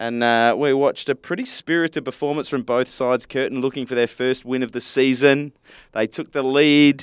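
In an Australian accent, a man talks at a moderate pace with medium pitch and fairly even intonation, recorded dry and close with no echo on a very clean, silent background. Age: 30s. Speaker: football podcast host. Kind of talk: casual chat. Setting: studio.

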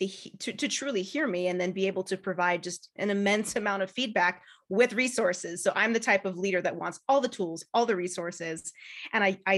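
Using an ordinary speaking voice, a woman with an American accent talks at a fairly quick pace, with a medium pitch and ordinary pitch variation. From California. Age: 30s. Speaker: marketing firm owner and coach. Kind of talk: casual chat.

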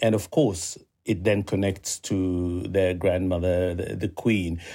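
Dark, mellow male tone, captured very cleanly against total background silence. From Uganda. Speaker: former journalist and communications executive. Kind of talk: interview.

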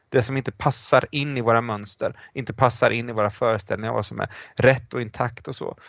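A man's medium-pitched voice in a flat, monotone intonation. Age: 40s. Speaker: professor of church history. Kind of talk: casual chat.

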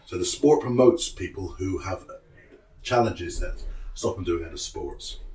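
A man talking at a fairly quick clip over noticeable background noise. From Cornwall. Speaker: wrestling coach. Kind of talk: explaining, casual interview.

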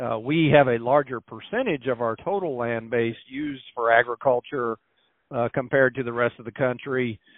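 This is an unremarkable speaking voice with an American accent. The intonation is fairly even. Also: man. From Missouri. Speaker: government agricultural statistician. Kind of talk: interview. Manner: frequent filler words (uh, um).

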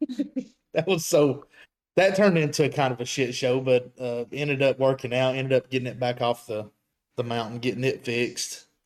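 A man speaks at a moderate pace with medium pitch and ordinary pitch variation. It is a plain, everyday voice. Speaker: off-road builder.

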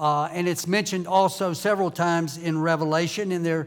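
This man speaks with a Southern US accent at a high pitch. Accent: US South. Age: 70s. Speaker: visiting preacher. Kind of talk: sermon. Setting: church.

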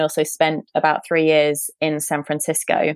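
A woman with a British accent speaks at a fairly low pitch in a dry, close sound with no echo. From UK. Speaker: coach and former founder. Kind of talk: interview conversation.

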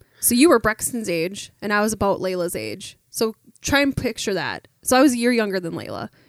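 This woman has a plain, everyday voice, fairly high in pitch with ordinary pitch variation. She talks at a fairly quick pace, and the sound is dry and close with no echo. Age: 30s. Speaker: podcast guest, host's wife. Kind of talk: casual chat.

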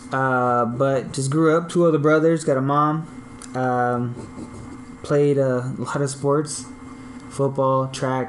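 A man talks with an American accent. Noticeable background noise runs behind him. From US West Coast, Long Beach, California. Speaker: graphic designer and podcaster. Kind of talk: casual chat.

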